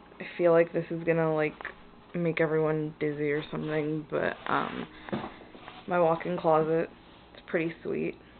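A woman with a very deep, low voice talks at a moderate pace in a monotone, flat delivery. Long pauses come often, and background noise is noticeable. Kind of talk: casual vlog chat. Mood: relaxed, casually pleased. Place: home room. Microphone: phone near.

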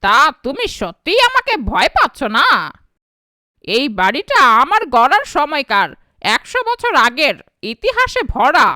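In a cartoonish character voice, the speaker uses a high pitch with very wide pitch swings at a fairly slow pace. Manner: blustering, pompous.

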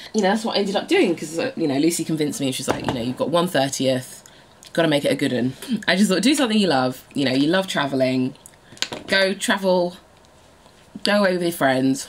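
Her pitch fairly low, a woman talks at a fairly quick pace with very wide pitch swings over light background noise. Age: 30s. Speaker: lifestyle blogger and vlogger; lifestyle blogger, vlogger. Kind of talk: casual vlog monologue. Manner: chatty, laughing often. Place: home room. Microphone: phone near.

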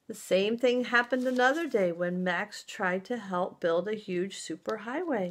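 The speaker is reading aloud in a natural voice. The pitch varies in an ordinary way.

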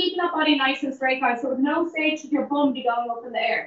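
Against a quiet background with audible room echo, a woman with an Irish accent speaks at a high pitch with ordinary pitch variation. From Ireland. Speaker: fitness instructor. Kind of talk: live-streamed guided Pilates and breathing cool-down class. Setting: in the gym, streamed live via call. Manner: encouraging, repetitive counting down of reps. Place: gym. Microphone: camera far.

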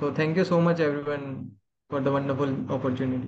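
A man's voice over light background noise. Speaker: table topics evaluator. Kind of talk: evaluation speech at a club meeting. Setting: club meeting room. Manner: hesitant, filler words. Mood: grateful, polite. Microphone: video call.

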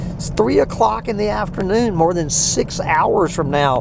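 Noticeable background noise runs through the clip. The sound is dry, with no echo. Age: 60s. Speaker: farm owner and video blogger. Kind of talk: casual rant monologue. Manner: halting with many fillers and repetitions. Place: car. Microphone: phone near.

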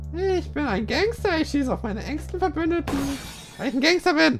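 A fairly high put-on character voice at a fairly quick pace, with clear music in the background.

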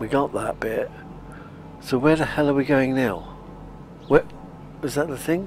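A man's fairly high voice at a moderate pace, with ordinary pitch variation, long, frequent pauses and noticeable background noise. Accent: British. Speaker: gaming video creator. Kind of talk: casual gameplay commentary. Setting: home recording, playing on console.

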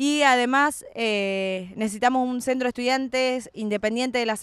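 A woman talks at a fairly slow pace in a plain, everyday voice with fairly even intonation. The recording is very clean, with a silent background. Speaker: student activist. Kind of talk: campaign statement.

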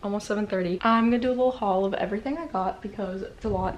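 A woman moves at a fairly quick pace. Her pitch variation is ordinary. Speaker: college student vlogger. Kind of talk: casual vlog chat. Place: home room. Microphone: phone near.

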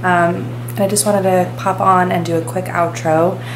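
A woman speaks over noticeable background noise. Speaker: vlogger. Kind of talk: casual vlog chat. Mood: warm, relaxed. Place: home room. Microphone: phone near.

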